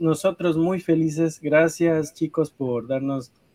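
A man's voice with a dark, mellow tone. The sound is dry and close, with no echo. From Ecuador. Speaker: podcast host. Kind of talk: casual interview.

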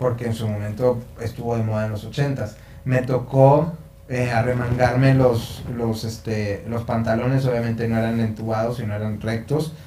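A man with a Mexican accent and a medium pitch speaks at a moderate pace in a monotone, flat intonation. Noticeable background noise and audible room echo are present. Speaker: songwriter. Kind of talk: casual chat.

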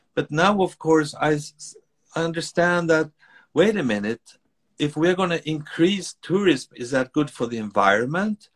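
In a Swedish accent, a man with a fairly high pitch speaks at a moderate pace with lively intonation. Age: 60s. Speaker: author and speaker. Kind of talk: interview conversation. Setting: video call.

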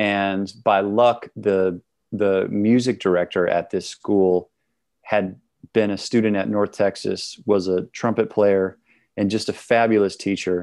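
A man speaks at a fairly low pitch in a monotone, flat manner. His pace is fairly slow, and the background is quiet. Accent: American. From Wisconsin, Milwaukee. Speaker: trumpeter and singer. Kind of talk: casual interview chat. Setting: home studio, video call.

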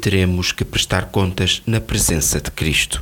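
Speaking at a fairly slow pace, a man uses vocal fry and has a European Portuguese accent. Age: 60s. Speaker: devotional speaker. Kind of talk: scripted devotional reading.

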